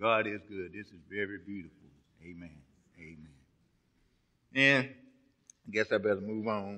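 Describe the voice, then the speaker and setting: A fairly low-pitched man with a Southern US accent, bright, sharp tone, ordinary pitch variation, big swings in loudness, moderate pace and long, frequent pauses, over a quiet background. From Texas. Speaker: pastor. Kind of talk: sermon. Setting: church. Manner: animated. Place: church. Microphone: podium.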